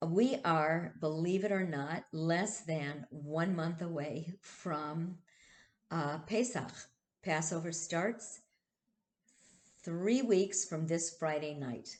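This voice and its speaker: With long, frequent pauses, a woman talks in a fairly low pitch and ordinary pitch variation, her voice carrying audible room echo. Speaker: rabbi. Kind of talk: casual talk to congregation. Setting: video stream. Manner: halting.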